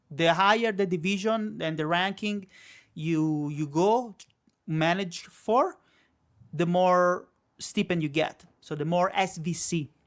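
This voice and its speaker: In an Italian accent, the speaker goes at a very slow pace with long, frequent pauses, on a very clean recording with a silent background. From Italy. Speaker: live streamer. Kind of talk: casual chat. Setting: live stream.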